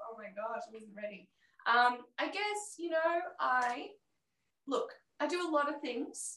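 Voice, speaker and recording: A woman's raised, projected voice in an Australian accent, high in pitch and bright and sharp in tone, with very wide pitch swings, big swings in loudness and long, frequent pauses. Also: fairly slow pace. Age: 30s. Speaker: comedy teacher. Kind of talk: casual chat. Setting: video call.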